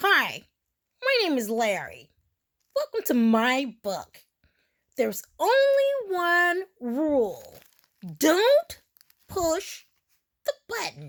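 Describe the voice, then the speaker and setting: In a put-on character voice, a woman speaks at an extremely high pitch with very wide pitch swings. Her pace is very slow, broken by long, frequent pauses. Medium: read story. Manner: playful, excitable.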